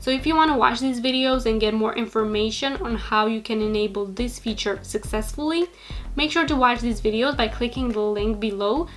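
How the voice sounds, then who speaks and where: Music plays in the background. A woman with a fairly high pitch talks at a fairly quick pace. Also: ordinary pitch variation. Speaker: social media business youtuber. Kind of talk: tutorial. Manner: fast talker.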